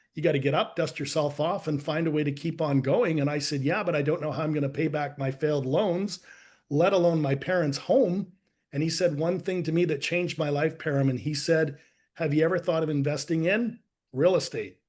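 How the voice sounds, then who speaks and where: Against a quiet background, a man with a slight Canadian accent talks at a fairly quick pace, his fairly high pitch moving with ordinary variation. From Canada. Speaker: life and business coach. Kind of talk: interview storytelling. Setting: podcast.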